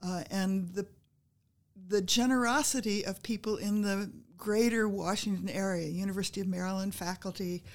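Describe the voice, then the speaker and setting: On a very clean recording with a silent background, a woman with an unremarkable speaking voice talks at a moderate pace and medium pitch with fairly even intonation. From US Midwest and Northeast, moved around as a child. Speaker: retired history professor. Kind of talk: interview.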